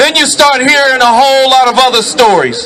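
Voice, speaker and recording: Crowd noise fills the background as a man with an American accent speaks in a raised, projected voice. His pitch is extremely high. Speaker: activist speaker. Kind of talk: protest rally speech. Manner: loud.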